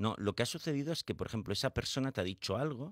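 Very fast and full of very wide pitch swings, a man's medium-pitched voice with vocal fry comes through on a very clean recording with a silent background. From Spain, Barcelona. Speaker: psychologist and author. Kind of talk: radio interview. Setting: radio studio.

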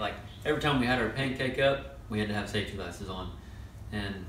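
There is light background noise and audible room echo as a man speaks with ordinary pitch variation. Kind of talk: casual tutorial talk. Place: workshop. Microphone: camera far.

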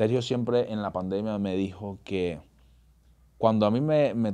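Over a quiet background, a man speaks at a fairly slow pace in a dark, mellow tone with a fairly low pitch. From Venezuela (Caracas). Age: 30s. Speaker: actor and bodybuilder; actor. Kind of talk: casual interview. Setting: studio. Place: studio. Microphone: studio mic.

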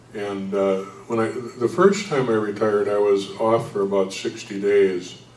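Speaking fairly slowly with an American accent, a man's fairly low voice stays monotone and flat. Audible room echo surrounds him. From US Midwest. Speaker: retired federal government employee, panelist. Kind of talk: church adult forum panel discussion. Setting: church. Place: hall.

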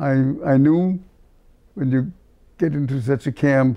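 Against a quiet background, a man with a German accent speaks fairly slowly in a fairly high pitch with a dark, mellow tone. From Berlin, Germany. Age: 80s+. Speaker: cantor, Holocaust survivor. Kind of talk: interview answer. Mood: reflective, solemn memories. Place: home room. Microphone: lapel.

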